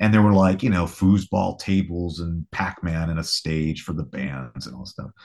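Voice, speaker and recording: This man talks with ordinary pitch variation. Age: 40s. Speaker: rock guitarist. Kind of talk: casual chat.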